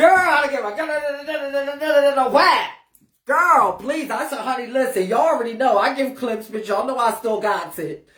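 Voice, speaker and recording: Audible room echo surrounds a woman with a high pitch and an animated tone. She speaks at a fairly slow pace with lively intonation. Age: 40s. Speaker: ballroom icon and livestream host. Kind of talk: casual livestream chat.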